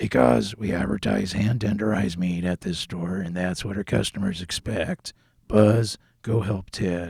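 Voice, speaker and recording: A raspy, put-on character voice from a man, very deep and low, at a moderate pace, with a dry, close sound and no echo. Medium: audio drama. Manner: commanding.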